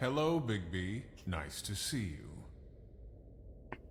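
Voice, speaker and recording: A man puts on a character voice with very deep, low pitch and very wide pitch swings. He speaks at a very slow pace over clear background noise. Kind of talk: theatrical rhyming verse. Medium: video game. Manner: rhyming, sly.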